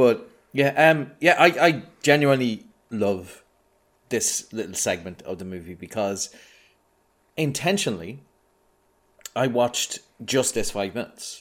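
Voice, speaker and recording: A man with an Irish accent at medium pitch, fairly slow and broken by long, frequent pauses, with very wide pitch swings and big swings in loudness. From Ireland. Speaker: podcast guest. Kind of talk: casual film discussion podcast.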